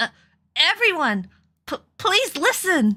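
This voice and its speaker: Shouting in a put-on character voice, a woman goes extremely high in pitch with very wide pitch swings at a fairly slow pace. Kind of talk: hesitant, stammering. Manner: shouting, desperate, pleading.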